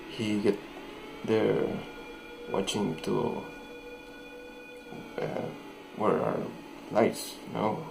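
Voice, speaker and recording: A man's very slow speech, full of long, frequent pauses, over noticeable background noise. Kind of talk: horror story narration. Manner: hesitant, halting.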